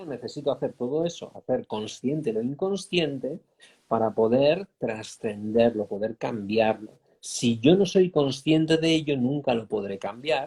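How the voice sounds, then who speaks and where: A man with a Spanish accent speaks fairly slowly at a medium pitch, his intonation lively. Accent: Spanish from Spain. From Spain. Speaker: life coach. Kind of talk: interview. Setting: online live stream.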